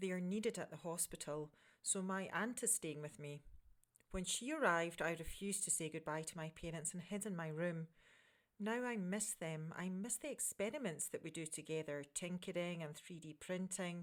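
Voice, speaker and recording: Here a woman has a Scottish accent and a fairly low pitch. She talks at a moderate pace. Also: ordinary pitch variation. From Scotland. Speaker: communications director. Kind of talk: children's story reading.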